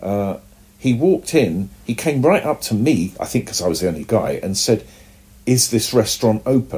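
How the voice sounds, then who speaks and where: A man with a British accent speaks at a moderate pace and medium pitch, his dark, mellow tone somewhat breathy and his intonation lively. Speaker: comic book artist. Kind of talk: casual interview.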